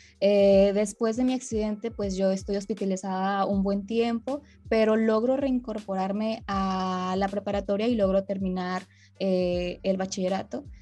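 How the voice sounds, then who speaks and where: A woman's medium-pitched voice, dark and mellow in tone, fairly slow and fairly even in intonation, over a quiet background. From northern Mexico (Monterrey, Nuevo León). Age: 20s. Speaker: amputee and psychologist. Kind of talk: interview, personal testimony.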